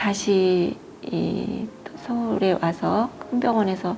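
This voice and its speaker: Noticeable background noise accompanies a woman speaking at medium pitch with ordinary pitch variation. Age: 60s. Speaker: cancer patient. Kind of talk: interview. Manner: hesitant, with fillers.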